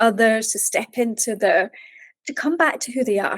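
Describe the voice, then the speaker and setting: A woman talks at a fairly slow pace, high-pitched, with a Scottish accent. The sound is dry and close, with no echo. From Scotland, Edinburgh. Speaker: mindset coach and meditation teacher. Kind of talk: podcast interview.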